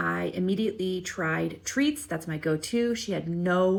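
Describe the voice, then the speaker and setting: A quiet woman, fairly low in pitch, at a fairly slow pace. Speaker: cat behavior specialist. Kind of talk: narrated tutorial. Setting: animal shelter.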